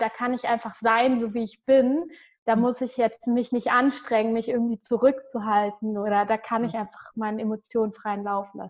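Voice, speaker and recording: A woman's fairly high-pitched voice at a moderate pace, monotone with flat intonation. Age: 20s. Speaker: dance teacher. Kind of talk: interview. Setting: video call.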